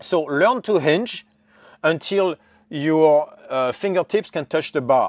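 A very slow French accent in a very clean recording with a silent background, dry and close with no echo. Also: man, fairly high pitch for a man, ordinary pitch variation. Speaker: strength coach, movement specialist. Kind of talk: interview answer.

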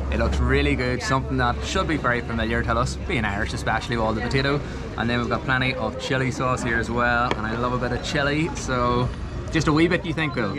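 Loud background noise surrounds a man who speaks very fast. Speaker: travel food vlogger. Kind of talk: casual vlog chat. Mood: enthusiastic, cheerful. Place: cafe. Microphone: phone near.

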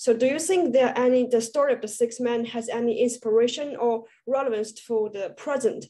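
A woman with a Chinese accent speaks at a fairly quick pace. Her voice is high-pitched, with fairly even intonation. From China. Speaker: student panel moderator. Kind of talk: panel interview. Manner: halting. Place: home room. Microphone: video call.

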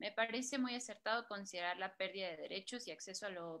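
Her tone bright and sharp, a woman speaks with ordinary pitch variation. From Mexico, Guerrero roots. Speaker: moderator, editor; moderator. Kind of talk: storytelling; moderated panel. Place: home room. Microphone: video call.

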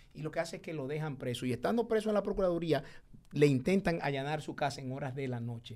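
Very fast and fairly high-pitched, a man speaks with lively intonation and big swings in loudness. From Dominican Republic. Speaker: public servant. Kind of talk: heated debate. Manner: animated. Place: studio. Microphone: studio mic.

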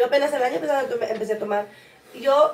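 A woman speaks at a high pitch. Audible room echo surrounds her voice. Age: 20s. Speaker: podcast co-host. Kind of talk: casual chat. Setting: livestream. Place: home room. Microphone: camera far.

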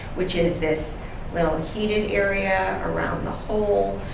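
The voice shows ordinary pitch variation. Audible room echo and noticeable background noise surround it. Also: woman. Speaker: conference presenter. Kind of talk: lecture. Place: hall.

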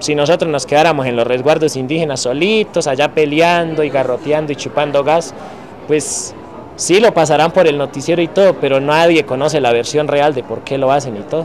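A man talks at a fairly quick pace in a fairly high pitch. Faint music plays in the background. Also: ordinary pitch variation. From Colombia, Cauca; Colombia. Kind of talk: testimony. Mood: calm, thoughtful. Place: street.

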